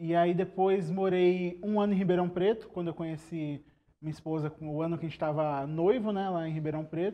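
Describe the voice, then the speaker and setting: A high-pitched man at a fairly quick pace, his intonation fairly even. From Brazil, São Paulo state (Guarulhos, Araras). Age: 20s. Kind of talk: podcast interview.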